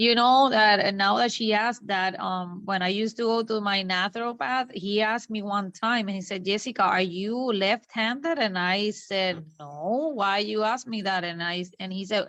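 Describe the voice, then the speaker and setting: A woman with a Spanish accent speaks at a moderate pace in a medium pitch, using ordinary pitch variation and hardly any pauses. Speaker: coaching client and translator. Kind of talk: casual chat.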